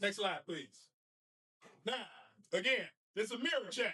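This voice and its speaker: A man's extremely high, raised and projected voice, bright and sharp, animated, at a moderate pace. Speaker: basketball coach and teacher. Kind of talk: presentation to an audience.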